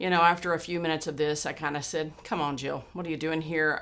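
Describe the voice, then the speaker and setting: A woman speaks in a fairly low voice with a bright, sharp tone. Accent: Texan. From Texas. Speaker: podcast host. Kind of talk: personal storytelling monologue. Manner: casual with frequent fillers and repetitions.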